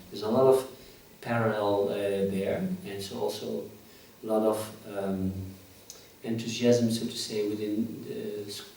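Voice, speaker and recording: A man with a fairly low pitch talks at a moderate pace, with fairly even intonation and long, frequent pauses. His loudness swings widely, and the recording has audible room echo and noticeable background noise. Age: 60s. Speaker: professor. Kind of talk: interview. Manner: halting.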